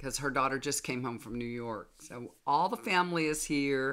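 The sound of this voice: A woman speaks with an extremely low pitch. Her tone is fairly bright.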